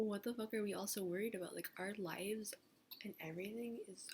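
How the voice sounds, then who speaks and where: Her voice somewhat breathy, a woman speaks at a fairly quick pace with fairly even intonation. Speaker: vlogger. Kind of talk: casual vlog monologue. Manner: rambling, halting.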